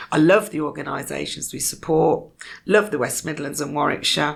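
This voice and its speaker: A woman speaks with a Birmingham accent at a moderate pace. Her voice has vocal fry. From Birmingham, England. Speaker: community foundation leader. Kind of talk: podcast interview. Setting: podcast studio.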